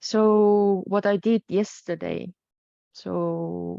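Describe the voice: A woman's fairly low-pitched voice has a dark, mellow tone and vocal fry, with a dry, close sound and no echo.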